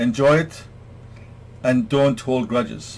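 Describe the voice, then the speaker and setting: The speaker is a man with a somewhat breathy voice. He talks at a very slow pace. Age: 60s. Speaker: self-help vlogger. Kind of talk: talk to camera, advice monologue. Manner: hesitant fillers.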